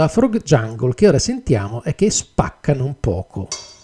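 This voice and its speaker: In a dry, close sound with no echo, a man with an Emilian accent speaks at a moderate pace, his fairly high, somewhat breathy voice carrying a dark, mellow tone and very wide pitch swings. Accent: Emilian Italian, persistent. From Emilia, northern Italy. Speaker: podcast host and newsletter writer. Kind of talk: casual solo monologue.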